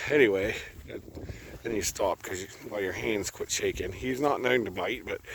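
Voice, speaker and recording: A man's relaxed, medium-pitched voice at a moderate pace, with ordinary pitch variation, long, frequent pauses and noticeable background noise. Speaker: livestock farmer. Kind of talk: casual vlog talking to camera outdoors. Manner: relaxed, conversational with fillers.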